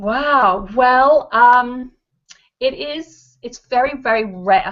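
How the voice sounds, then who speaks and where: A woman's high voice, spoken very slowly, with ordinary pitch variation. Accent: English. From England. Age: adult. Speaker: actress. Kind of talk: interview. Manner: hesitant, many fillers.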